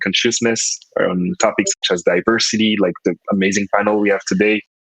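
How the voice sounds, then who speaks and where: A man with a French accent speaks at a moderate pace, the sound dry and close with no echo. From French West Indies, Guadeloupe. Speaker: UX designer and researcher. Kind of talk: panel discussion. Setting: online conference.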